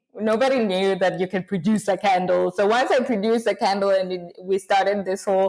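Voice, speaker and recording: Speaking in a Rwandan accent, a woman uses medium pitch and a fairly quick pace. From Rwanda, some years in Kenya. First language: Kinyarwanda. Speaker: small business founder. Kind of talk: podcast interview. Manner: halting, many fillers.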